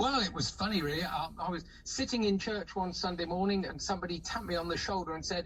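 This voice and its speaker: Noticeable background noise sits under a man's high-pitched voice. He speaks at a fairly quick pace with ordinary pitch variation. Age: 70s. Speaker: choir member and recruiter. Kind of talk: radio interview. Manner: halting.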